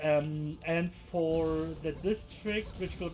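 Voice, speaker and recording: Music plays in the background while a man speaks in a high pitch. He has a German accent. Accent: German accent noticeable. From Germany. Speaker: gaming video creator. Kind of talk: gameplay tutorial. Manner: halting, many fillers.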